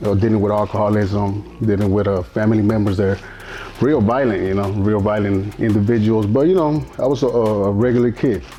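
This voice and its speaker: A fairly low-pitched man with an American accent, fairly quick pace, fairly even intonation and very even loudness, against noticeable background noise. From Mexico, Durango. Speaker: interview guest sharing life story. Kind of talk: interview testimony. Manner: halting, many fillers and repetitions.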